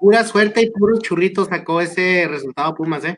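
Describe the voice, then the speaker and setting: At a fairly quick pace, a man with a northern Mexican accent talks at a high pitch with ordinary pitch variation. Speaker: football podcast panelist. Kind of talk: casual chat.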